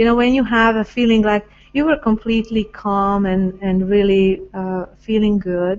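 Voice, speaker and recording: A woman with a Hungarian accent speaks at a medium pitch with fairly even intonation and big swings in loudness. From Hungary. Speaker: spiritual talk show host. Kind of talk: casual interview chat about spirituality. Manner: hesitant, many fillers.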